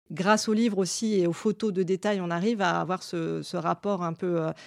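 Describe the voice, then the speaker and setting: Over a very clean, silent background, a woman talks at a moderate pace. Her pitch is medium and her intonation fairly even. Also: dry, close sound with no echo. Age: 30s. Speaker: museum curator and art historian. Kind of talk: interview monologue about her work. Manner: hesitant, with fillers and repeated words.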